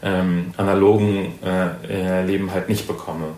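Noticeable background noise and audible room echo around a man talking. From northern Germany. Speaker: podcast guest, cultural studies graduate. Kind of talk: casual conversation. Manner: hesitant, many fillers.

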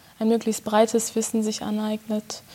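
Her intonation stays monotone and flat. The woman's pitch is fairly high. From Germany, Bochum (Ruhr area). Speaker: concert pianist. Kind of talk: interview. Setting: chamber music hall.

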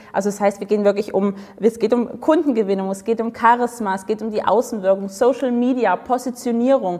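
Over noticeable background noise, a woman speaks at a fairly quick pace in a fairly high pitch with an animated tone. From Dresden, eastern Germany. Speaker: sales and charisma coach. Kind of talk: interview.

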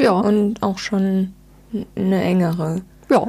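A woman's somewhat breathy, dark, mellow voice at a medium pitch. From southwestern Germany (Rhine-Neckar, near Speyer). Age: 40s. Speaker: publishing press officer. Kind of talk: interview conversation.

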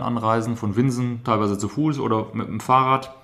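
A man speaks at a medium pitch with noticeable noise in the background. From Germany, Rhineland (Düsseldorf). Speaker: museum director. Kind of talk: interview. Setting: on location in a museum. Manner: hesitant, many fillers.

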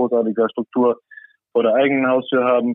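A man talks at a fairly quick pace. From Saarland, Germany. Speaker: salmon farm worker and angler. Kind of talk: casual chat. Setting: remote call from a cabin.

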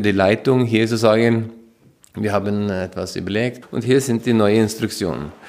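Speaking with a Norwegian accent, a man talks at a fairly slow pace and medium pitch with fairly even intonation. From Norway. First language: Norwegian (speaking German). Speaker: stay-at-home father. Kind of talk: interview. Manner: hesitant, repeating words.

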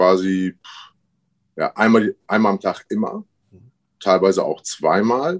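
A moderate pace against a quiet background, with a dry, close sound and no echo. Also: man. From Paderborn, East Westphalia (born in Syria, arrived age six). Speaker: professional MMA fighter. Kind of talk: interview. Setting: remote call, not in studio. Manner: halting, many fillers.

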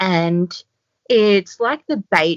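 A woman speaks with an Australian accent. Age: 30s. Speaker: doctor and yoga teacher. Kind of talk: casual interview.

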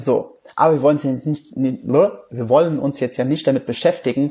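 A man's somewhat breathy voice with a dark, mellow tone, a fairly high pitch, and a moderate pace. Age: 20s. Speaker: life coach and podcast host. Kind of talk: recorded livestream talk.

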